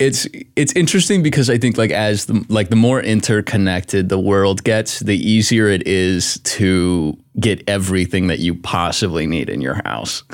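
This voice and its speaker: An unremarkable speaking voice, a man's, fairly low in pitch with ordinary pitch variation, talks at a moderate pace with an American accent on a very clean recording with a silent background. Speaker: author and TikToker. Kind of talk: casual chat.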